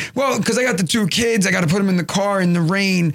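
Speaking very fast with a New York accent, a man uses ordinary pitch variation. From Brooklyn, New York. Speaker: comedian. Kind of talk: casual chat.

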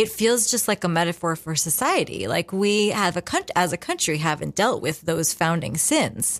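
In a very clean recording with a silent background, a woman talks at a moderate pace with hardly any pauses in a plain, everyday voice, fairly low-pitched and with lively intonation. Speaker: exhibition curator. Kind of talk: radio interview. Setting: studio.

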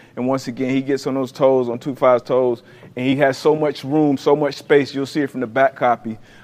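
Speaking at a fairly quick pace with fairly even intonation, a man with a fairly high pitch has an unremarkable speaking voice. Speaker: former NFL defensive back, football analyst. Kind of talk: football film breakdown.

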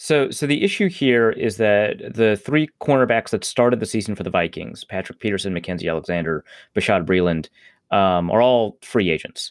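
On a very clean recording with a silent background, a man speaks in a plain, everyday voice at medium pitch with lively intonation, the sound dry and close with no echo. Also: moderate pace. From Upper Midwest US. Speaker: sports journalist. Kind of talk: casual chat.

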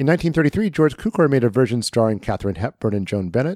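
The pitch swings very widely. The recording is very clean, with a silent background, and the sound is dry and close with no echo. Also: man. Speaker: podcast host. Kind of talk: casual film discussion.

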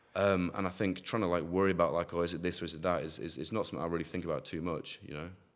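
A man with a Yorkshire accent and a very deep, low pitch talks at a very fast pace with hardly any pauses and monotone, flat intonation on a very clean recording with a silent background. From East Yorkshire, northern England. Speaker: drum and bass producer and DJ. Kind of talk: casual chat.

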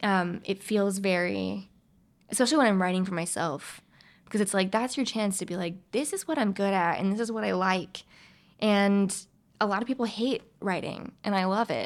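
In a very clean recording with a silent background, a woman with an American accent and an ordinary speaking voice talks at a moderate pace, her medium pitch showing ordinary variation. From US South, eastern North Carolina. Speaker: actor and writer. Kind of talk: casual interview chat. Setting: studio.

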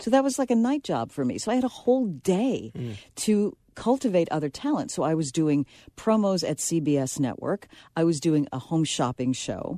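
A woman with an American accent speaks at a moderate pace in a fairly low pitch, her tone dark and mellow, with very wide pitch swings. The sound is dry and close with no echo, over a quiet background. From New York City, the Bronx. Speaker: veteran radio broadcaster and filmmaker. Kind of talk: radio interview.

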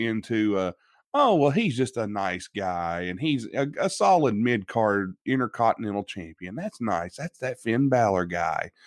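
This man talks at a moderate pace in an Appalachian accent, his pitch swinging very widely. The sound is dry and close with no echo, over a quiet background. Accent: West Virginian, Appalachian. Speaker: podcast host and wrestling fan. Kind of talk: casual chat.

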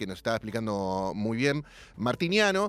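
The speaker has a Rioplatense accent. The pace is moderate. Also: man. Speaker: radio host. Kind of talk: radio interview. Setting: radio studio with guest on Zoom.

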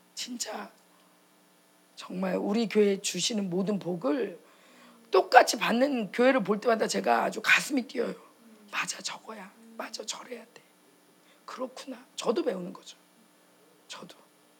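Against noticeable background noise, a woman with a fairly high pitch speaks at a fairly slow pace with long, frequent pauses, an animated tone, lively intonation and big swings in loudness. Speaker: pastor's wife preacher. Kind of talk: sermon and prayer. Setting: church conference with audience. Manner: animated, fervent.

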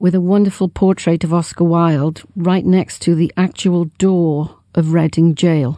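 A woman's fairly low, monotone voice with flat intonation, very even loudness and a fairly slow pace. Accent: southern English. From England, London. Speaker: tour guide. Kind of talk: call-in advice.

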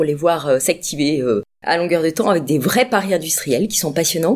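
A fairly low woman's voice with a dark, mellow tone, lively intonation and a moderate pace. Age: 50s. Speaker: bank sales executive. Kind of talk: interview. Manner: halting, many fillers.

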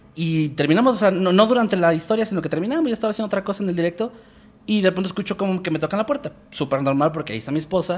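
Very fast speech comes from a man pitched high. His intonation stays lively throughout. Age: 20s. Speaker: horror storytelling youtuber. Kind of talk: casual chat.

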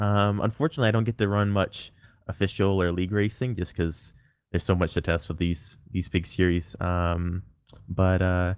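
A man with an unremarkable speaking voice talks at fairly low pitch and a moderate pace in a very clean recording with a silent background. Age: 20s. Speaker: sim racing driver. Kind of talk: casual chat.

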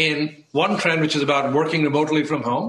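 This man has an unremarkable speaking voice with a fairly high pitch. He talks at a moderate pace. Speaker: tech company CEO. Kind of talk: TV interview.

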